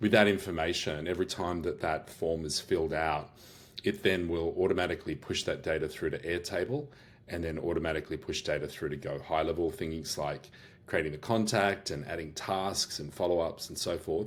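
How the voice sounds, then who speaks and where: A man with an Australian accent speaks in a very deep, low voice. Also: ordinary pitch variation, fairly quick pace. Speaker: business owner and AI workshop host. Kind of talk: product demo walkthrough. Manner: casual, many fillers and restarts.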